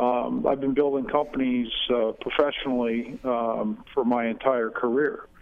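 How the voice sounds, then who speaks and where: A man with an upstate New York accent speaks at a fairly slow pace in a medium pitch, his intonation fairly even and his loudness very even. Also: hardly any pauses. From upstate New York, Finger Lakes. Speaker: political candidate. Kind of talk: radio interview. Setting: phone call. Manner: halting, many fillers.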